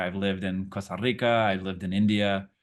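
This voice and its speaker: Speaking in a flat monotone, a man with a fairly low pitch has a Portuguese accent. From international upbringing (Brazil, Chile, Miami). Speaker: actor. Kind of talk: interview. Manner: halting, many fillers and repeats.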